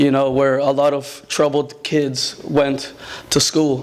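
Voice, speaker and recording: A man with a Spanish accent speaks at a fairly high pitch amid noticeable background noise. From Mexico, Guadalajara, then US from age nine. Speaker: student athlete. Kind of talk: speech at a dinner.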